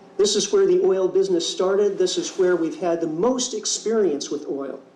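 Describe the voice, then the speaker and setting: Through audible room echo, a man with a high pitch talks at a moderate pace with lively intonation. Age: 50s. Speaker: keynote speaker and ecology teacher. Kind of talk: keynote speech.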